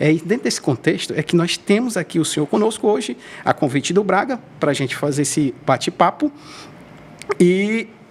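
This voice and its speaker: A man talks at a fairly quick pace with very wide pitch swings, broken by long, frequent pauses. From Brazil, Ceará (Groaíras). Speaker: podcast host. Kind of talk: podcast interview. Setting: studio. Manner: halting.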